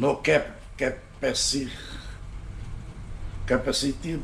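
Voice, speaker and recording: A man speaks with a Hungarian accent and ordinary pitch variation. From Hungary. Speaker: home cooking youtuber. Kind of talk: cooking tutorial. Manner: halting, many fillers.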